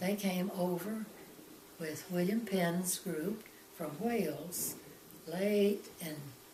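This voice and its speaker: A woman at medium pitch, very slow pace and long, frequent pauses, amid audible room echo and noticeable background noise. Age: 80s+. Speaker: grandmother interviewed about family history. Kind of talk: family interview about her life. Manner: halting.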